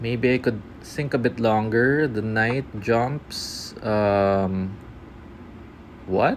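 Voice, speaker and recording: Mumbling at a very slow pace, with long, frequent pauses, very even loudness and fairly even intonation. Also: man, medium pitch for a man. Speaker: chess streamer. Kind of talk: live game commentary. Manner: halting, filler-heavy.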